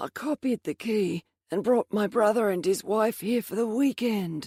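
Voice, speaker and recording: Putting on a character voice, a woman speaks raspily at a fairly high pitch and a moderate pace. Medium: read story.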